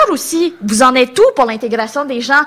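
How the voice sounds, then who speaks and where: A woman speaks at a high pitch, with ordinary pitch variation. Her tone is bright and sharp. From Quebec, Longueuil area. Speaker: political candidate. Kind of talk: political debate.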